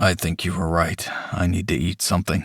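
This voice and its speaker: A raspy, put-on character voice, monotone and flat, at a fairly quick pace. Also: man. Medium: read story. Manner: terse, matter-of-fact.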